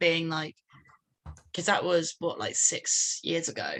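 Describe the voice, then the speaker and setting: Here a woman talks at a moderate pace with a southern English accent. Her tone is bright and sharp. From England, London and Ascot. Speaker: band frontwoman. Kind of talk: casual interview.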